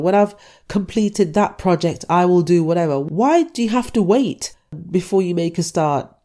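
A woman speaks in a dark, mellow tone. She keeps a moderate pace. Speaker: fitness podcaster. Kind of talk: motivational rant, scolding tough-love pep talk. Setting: solo podcast, self-recorded. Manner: forceful, blunt, impatient; direct, repeatedly addressing listener as 'you'.

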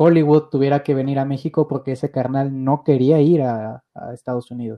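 Someone speaks at a moderate pace with a Mexican accent. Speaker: podcast host. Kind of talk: casual chat.

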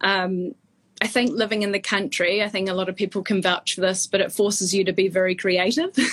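A woman with a New Zealand accent at a medium pitch, with fairly even intonation and a fairly quick pace. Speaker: fashion stylist. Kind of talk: casual interview. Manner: halting, many fillers.

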